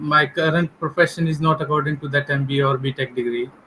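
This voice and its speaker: Using ordinary pitch variation, a man with an Indian accent talks at a fairly quick pace in a bright, sharp tone. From India, Delhi. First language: Hindi. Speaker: English learner, government employee. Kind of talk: English practice conversation. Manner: hesitant.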